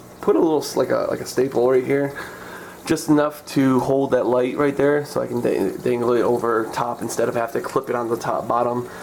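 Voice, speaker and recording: At a moderate pace, a man with a medium-pitched voice speaks with fairly even intonation over noticeable background noise. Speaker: aquarium hobbyist vlogger. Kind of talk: tutorial. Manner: halting; casual.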